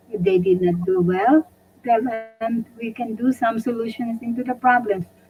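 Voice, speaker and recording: Music plays in the background. The speech has ordinary pitch variation and a moderate pace. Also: woman. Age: 80s+. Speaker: retired doctor and community leader. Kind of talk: interview. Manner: halting.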